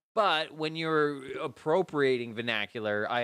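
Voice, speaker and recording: Fairly high in pitch with ordinary variation, a man with a Canadian accent talks at a moderate pace. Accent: Canadian, toned-down O's. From Canada. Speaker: podcast co-host. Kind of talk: casual chat. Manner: projects loudly on mic.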